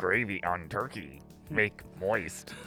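With clear music in the background, a man uses a put-on character voice at a very deep, low pitch. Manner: broken, clipped speech, exaggerated.

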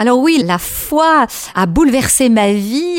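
Over noticeable background noise, a woman talks in a high voice with very wide pitch swings. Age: 60s. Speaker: head of a family association. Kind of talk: radio interview. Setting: studio.

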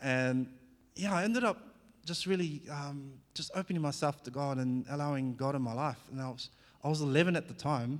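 A man with a slight New Zealand accent, fairly high pitch and a fairly quick pace. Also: ordinary pitch variation. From New Zealand (born in Fiji). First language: Fijian. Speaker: former professional athlete sharing testimony. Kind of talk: church testimony talk. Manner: casual, halting with many fillers.

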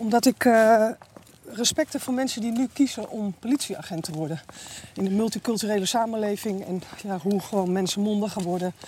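Noticeable background noise sits behind a woman at medium pitch. She talks at a fairly quick pace with ordinary pitch variation. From Amsterdam, Netherlands. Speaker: IT worker and police volunteer. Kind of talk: casual chat. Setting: outdoors, walking.

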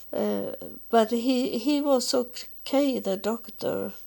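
A woman with a Swedish accent speaks at a very slow pace, with long, frequent pauses. The recording is very clean, with a silent background. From Sweden. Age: 70s. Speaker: solo podcaster. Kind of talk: personal monologue. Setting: at home. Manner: halting.

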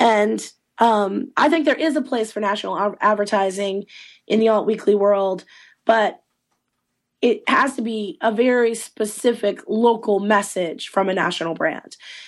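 A woman with an ordinary speaking voice talks at a moderate pace in a fairly high pitch, with ordinary pitch variation over a quiet background. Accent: American. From Eastern North Carolina. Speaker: trade association executive director. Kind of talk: interview. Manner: many fillers and restarts.

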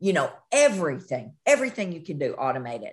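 A woman's fairly low-pitched voice with a Southern US accent. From US South, western Kentucky. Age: 50s. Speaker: nurse practitioner. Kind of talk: casual interview.

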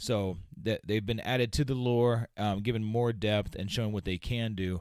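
A man speaks with a fairly low pitch and ordinary pitch variation. His is an unremarkable speaking voice. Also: very clean recording, silent background. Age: 40s. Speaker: podcast host. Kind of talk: casual chat. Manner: casual, rambling.

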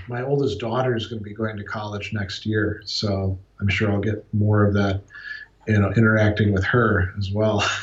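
A man speaks at a moderate pace and a fairly low pitch. Noticeable background noise is present. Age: 40s. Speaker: philosophy professor. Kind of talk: interview. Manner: halting, many repeated words.

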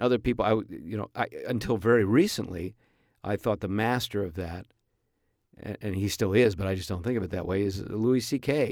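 In a very clean recording with a silent background, a man with a fairly low pitch talks at a fairly quick pace with ordinary pitch variation. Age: 50s. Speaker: comedian and podcast host. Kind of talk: casual monologue. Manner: halting, many fillers.

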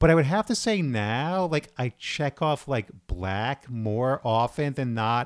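On a very clean recording with a silent background and a dry, close sound with no echo, a man at medium pitch speaks at a very slow pace with lively intonation and hardly any pauses. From New York, Brooklyn. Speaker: theater actor. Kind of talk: casual chat.

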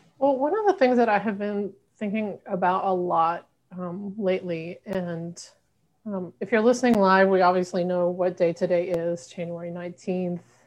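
Here is a normal speaking voice with an American accent. It moves at a moderate pace with ordinary pitch variation. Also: woman, medium pitch for a woman. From US South, Arkansas. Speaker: pastor and racial justice organizer. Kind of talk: bible study conversation.

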